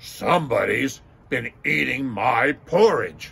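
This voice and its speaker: Putting on a growling character voice, a man talks at a fairly slow pace with a medium pitch. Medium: read story.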